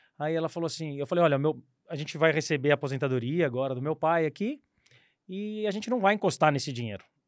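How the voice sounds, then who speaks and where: On a very clean recording with a silent background, a man talks at a very fast pace. His pitch is fairly high and his intonation lively. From São Paulo state, Brazil (São Bernardo do Campo). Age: 40s. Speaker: former airline pilot and investment advisor. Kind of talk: casual interview.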